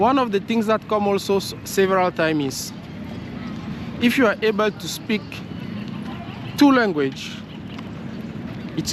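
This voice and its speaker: The man's intonation is lively. Noticeable background noise runs underneath. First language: French. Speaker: vlogger. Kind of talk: casual vlog monologue. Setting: outdoors, walking. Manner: halting, with fillers and repetitions.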